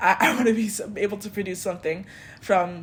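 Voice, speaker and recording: A woman speaks with a French accent at a moderate pace. Her intonation stays fairly even. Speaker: video essayist. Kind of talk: personal reflection monologue. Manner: casual, self-interrupting.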